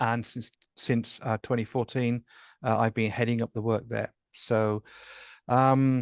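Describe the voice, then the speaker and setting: A medium-pitched man with an English accent, monotone, flat intonation, a fairly slow pace and long, frequent pauses, in a dry, close sound with no echo over a quiet background. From England. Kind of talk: interview. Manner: hesitant, many fillers.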